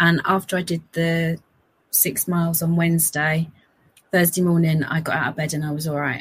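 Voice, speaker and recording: A woman with a fairly low, somewhat breathy voice speaks at a moderate pace in a flat monotone. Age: 50s. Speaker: amateur runner. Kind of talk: casual chat.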